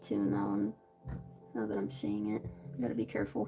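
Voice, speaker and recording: A woman with an American accent, a very deep, low pitch and ordinary pitch variation, at a very fast pace, with music in the background. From Florida, US (Miami and Central Florida). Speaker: streamer. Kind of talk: casual chat while drawing on a live stream. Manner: casual, many fillers.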